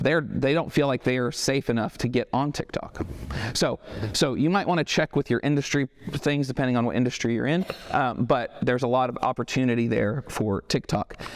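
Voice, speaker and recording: With an American accent and a medium pitch, a man speaks with ordinary pitch variation in a dry, close sound with no echo, over noticeable background noise. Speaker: marketing agency owner giving a talk. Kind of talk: talk to a business audience. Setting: stage with live audience, no microphone. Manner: fast.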